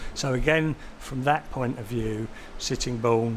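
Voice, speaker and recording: Over noticeable background noise, a man talks at a moderate pace and medium pitch in a monotone, flat intonation. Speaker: expert witness. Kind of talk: testimony. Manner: halting.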